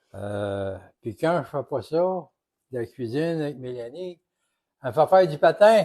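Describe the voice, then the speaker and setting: A man with a dark, mellow tone speaks with very wide pitch swings, big swings in loudness and long, frequent pauses. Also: fairly slow pace. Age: 70s. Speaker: retired police officer, cooking guest. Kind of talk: casual chat.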